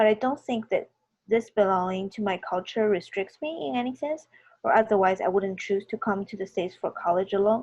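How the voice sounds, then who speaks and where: Speaking in a Chinese accent against a quiet background, a woman keeps a medium pitch, a moderate pace and ordinary pitch variation. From China. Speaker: student artist. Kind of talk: artist talk at virtual reception.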